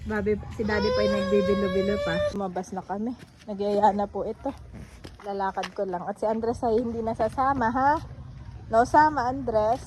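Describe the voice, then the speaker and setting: A woman with a medium pitch and ordinary pitch variation speaks at a moderate pace amid noticeable background noise. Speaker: vlogger. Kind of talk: casual vlog narration. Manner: animated.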